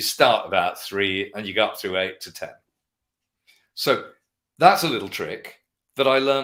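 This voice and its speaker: With a London accent, a man speaks with big swings in loudness and long, frequent pauses. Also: very clean recording, silent background. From London, England. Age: 60s. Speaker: guitarist and vintage guitar dealer. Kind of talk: interview. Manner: fast.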